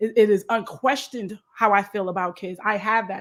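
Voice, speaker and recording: A woman with an American accent has a fairly high pitch and a bright, sharp tone. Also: very clean recording, silent background. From Long Island, New York. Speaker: nonprofit consultant and educator. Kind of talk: interview. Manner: fast.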